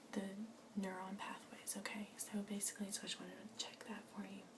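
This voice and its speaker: A soft-spoken woman with a gentle tone, flat monotone intonation and a moderate pace, over noticeable background noise. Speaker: ASMR artist doing a doctor roleplay. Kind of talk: ASMR medical roleplay. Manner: soft-spoken, gentle.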